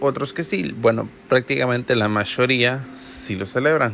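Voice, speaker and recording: A man's medium-pitched voice, with ordinary pitch variation, comes through over noticeable background noise. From El Salvador. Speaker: podcast host. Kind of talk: casual monologue.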